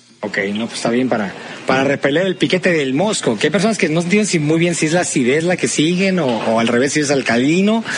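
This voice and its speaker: Over noticeable background noise, a man speaks at a very fast pace in a fairly high voice. His intonation is lively. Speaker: podcast host. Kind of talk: casual chat.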